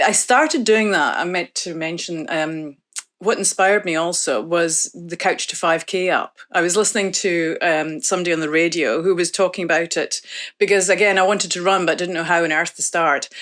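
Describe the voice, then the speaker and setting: A woman speaks at a moderate pace with a fairly low pitch and ordinary pitch variation. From northeast Scotland. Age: 50s. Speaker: study participant. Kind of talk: interview.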